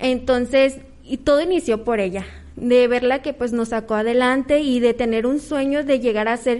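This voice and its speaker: At a moderate pace, a woman talks in a high voice. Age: 20s. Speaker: cosmetologist and spa therapist. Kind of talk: interview testimony. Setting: auditorium with audience. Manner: halting.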